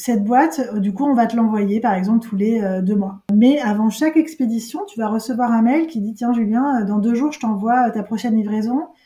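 Against noticeable background noise, a woman with a fairly high pitch speaks at a fairly quick pace. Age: 40s. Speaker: entrepreneur. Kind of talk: interview. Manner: halting.

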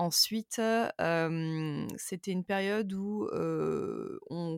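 A woman speaks at medium pitch with fairly even intonation. The sound is dry and close, with no echo. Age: 30s. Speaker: content creator and podcaster. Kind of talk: interview testimony. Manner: hesitant, many fillers.

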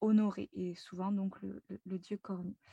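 A somewhat breathy woman at a fairly slow pace, ordinary pitch variation, in a dry, close sound with no echo. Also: quiet background. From France. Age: 20s. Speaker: spiritual guide. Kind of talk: interview. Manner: lively.

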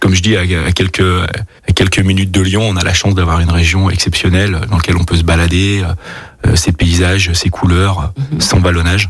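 Noticeable background noise sits behind a man with a very deep, low pitch who speaks at a fairly quick pace in a flat monotone, with very even loudness. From Burgundy, France. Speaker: chef and restaurant owner. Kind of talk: radio interview. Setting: studio. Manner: halting, many repetitions.

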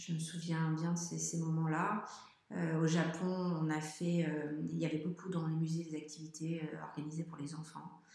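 Through audible room echo and noticeable background noise, a woman speaks in a very deep, low pitch with monotone, flat intonation. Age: 40s. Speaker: traveling parent. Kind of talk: interview. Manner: halting.

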